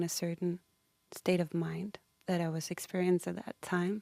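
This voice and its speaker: With a non-native accent, a woman speaks at a fairly low pitch and a moderate pace in a dark, mellow tone with monotone, flat intonation, heard in a dry, close sound with no echo. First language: not English. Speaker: singer-songwriter. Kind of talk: interview. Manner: halting.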